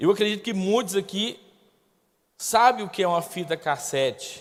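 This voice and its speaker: A man speaks with lively intonation. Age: 40s. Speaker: guest pastor. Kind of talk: sermon. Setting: church with congregation.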